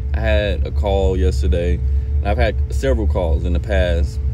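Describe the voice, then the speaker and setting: A man speaks in a very deep, low voice with monotone, flat intonation. The sound is dry with no echo, and there is noticeable background noise. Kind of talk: casual vlog chat. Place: car. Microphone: phone near.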